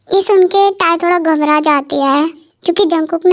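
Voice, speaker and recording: A woman talks at a moderate pace. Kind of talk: casual Hinglish storytelling. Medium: read story. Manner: informal, explanatory.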